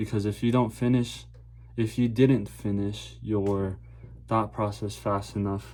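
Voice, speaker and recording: A man mumbles at a fairly slow pace and a fairly low pitch, yet with lively intonation. His tone is dark and mellow and somewhat breathy. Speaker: vlogger. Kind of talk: casual monologue vlog. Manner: stutters and mumbles.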